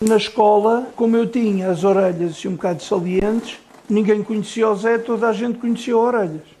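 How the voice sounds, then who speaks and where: Over noticeable background noise, a man talks at a fairly quick pace with a high pitch and fairly even intonation. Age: 60s. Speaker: IT technician with OCD. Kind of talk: interview testimony.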